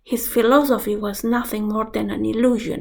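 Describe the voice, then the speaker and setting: A woman with a Romanian accent, a fairly high pitch and vocal fry, in audible room echo. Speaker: astrologer. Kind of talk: vlog lecture.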